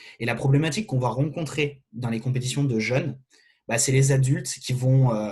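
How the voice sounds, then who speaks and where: Somewhat breathy male voice at a medium pitch, fairly quick in pace, with ordinary pitch variation. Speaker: fencing referee giving a training session. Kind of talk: online lecture. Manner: fast.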